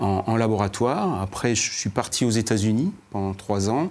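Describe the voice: A man at a moderate pace, slightly mellow in tone, with ordinary pitch variation.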